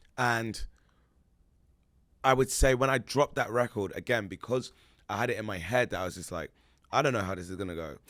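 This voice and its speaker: Someone with a British accent talks in an animated tone at a fairly quick pace, the loudness swinging widely. Long pauses come often, and the recording is very clean with a silent background. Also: man, medium pitch for a man, ordinary pitch variation. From England. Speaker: musician. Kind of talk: casual chat.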